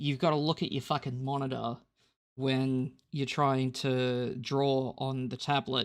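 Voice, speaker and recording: The recording is very clean, with a silent background. The speaker has an Australian accent and a fairly slow pace. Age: 30s. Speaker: digital artist. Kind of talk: drawing tutorial. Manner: halting, many fillers and repeats.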